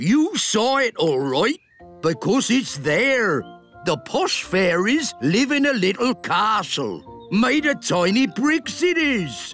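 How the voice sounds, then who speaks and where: In a high-pitched, cartoonish character voice, a man speaks very slowly over faint music in the background. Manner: chatty.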